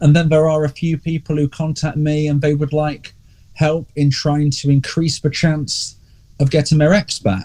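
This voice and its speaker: Monotone and flat, a man with an English accent speaks at a moderate pace and a fairly high pitch, sounding somewhat breathy. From England. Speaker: relationship coach. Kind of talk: podcast interview.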